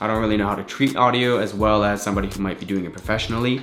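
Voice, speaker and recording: Noticeable background noise and audible room echo around a man's medium-pitched voice with ordinary pitch variation. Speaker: podcaster and videographer. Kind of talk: gear review tutorial. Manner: casual, with fillers.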